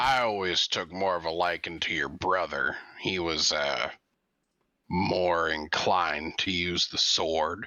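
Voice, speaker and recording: In a raspy, put-on character voice, the speaker goes at a fairly slow pace. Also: man, very deep, low pitch for a man. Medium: actual play. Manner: blunt, dry.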